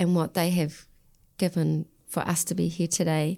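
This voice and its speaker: A woman with an Australian accent speaks at a moderate pace in a fairly low, dark, mellow voice. Her delivery is a flat monotone, and the recording is very clean with a silent background. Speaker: podcast host. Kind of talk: podcast interview.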